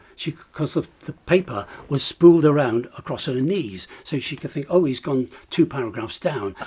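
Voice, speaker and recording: Somewhat breathy and dark, mellow in tone, a man with a fairly high pitch speaks at a moderate pace with lively intonation. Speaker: retired TV presenter. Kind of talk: interview reminiscence. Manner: animated.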